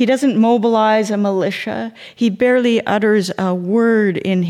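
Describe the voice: The speaker is doing plain reading aloud.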